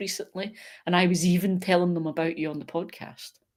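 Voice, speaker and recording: Here a woman speaks at medium pitch with a Glasgow accent. The recording is very clean and the background silent. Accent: Scottish (Glaswegian). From Scotland, Glasgow. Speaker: gardening YouTuber. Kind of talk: casual chat. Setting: live stream video chat.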